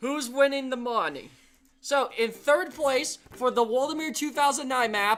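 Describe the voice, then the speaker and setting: With an animated tone, a woman speaks at a high pitch and a fairly slow pace, using ordinary pitch variation. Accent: Pittsburgh. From Erie, Pennsylvania. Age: 20s. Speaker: livestream host. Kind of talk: casual chat.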